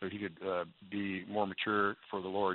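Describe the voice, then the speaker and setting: The man's voice sits at a fairly low pitch. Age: 70s. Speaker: psychiatrist and minister. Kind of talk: radio call-in advice.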